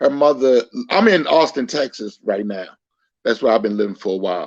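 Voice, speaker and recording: Speaking at a fairly quick pace, a man with an unremarkable speaking voice keeps a medium pitch and lively intonation. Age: 60s. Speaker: caller. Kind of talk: casual chat.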